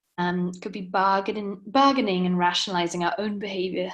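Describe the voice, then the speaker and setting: Her intonation monotone and flat, a woman speaks with a Welsh accent. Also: quiet background. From Wales. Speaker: coach. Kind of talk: webinar lecture.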